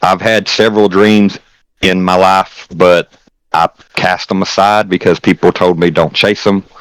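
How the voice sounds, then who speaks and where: With a Southern US accent, a man speaks at a very deep, low pitch in a monotone, flat intonation. The sound is dry and close with no echo. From Tennessee. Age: 30s. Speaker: streamer. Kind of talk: casual chat.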